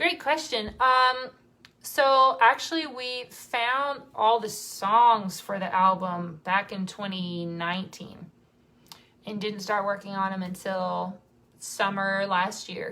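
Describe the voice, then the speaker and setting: A woman speaks at a very slow pace with medium pitch and ordinary pitch variation. Her tone is bright and sharp, with big swings in loudness. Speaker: singer in a vocal group. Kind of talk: live stream Q&A chat. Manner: casual, with fillers.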